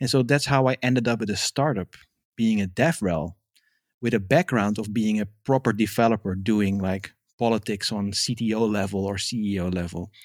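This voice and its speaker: In a Dutch accent, a man speaks at a moderate pace with a fairly low pitch and ordinary pitch variation. The sound is dry and close with no echo, on a very clean recording with a silent background. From Netherlands, Amsterdam. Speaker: developer advocate. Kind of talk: interview.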